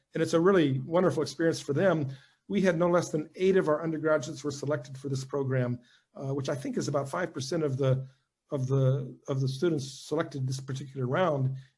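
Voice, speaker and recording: A man with an American accent, fairly high-pitched and somewhat breathy, at a very fast pace with ordinary pitch variation. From US South. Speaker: university head and former diplomat. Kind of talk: talk followed by Q&A. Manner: halting with many repetitions.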